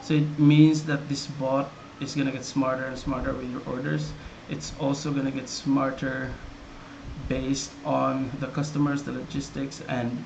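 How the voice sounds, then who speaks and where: Amid noticeable background noise and audible room echo, a man with a Visayan Filipino accent speaks at a moderate pace with medium pitch and monotone, flat intonation. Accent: Filipino (Cebuano) English. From Philippines, Cebuano-speaking region (Visayas/Mindanao). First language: Cebuano. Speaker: software developer presenting his product. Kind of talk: product tutorial. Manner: casual, with many fillers and repetitions.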